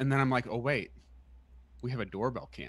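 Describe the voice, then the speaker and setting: This man's voice carries vocal fry. The recording is dry, with no echo. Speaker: podcast co-host. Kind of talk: casual podcast storytelling. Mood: amused, animated anecdote. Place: home room. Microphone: studio mic.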